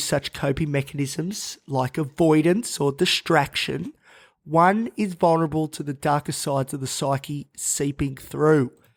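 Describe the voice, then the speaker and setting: On a very clean recording with a silent background and a dry, close sound with no echo, a man with an Australian accent speaks at a moderate pace, fairly high in pitch, with fairly even intonation. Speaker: mental health podcast host. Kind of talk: podcast monologue.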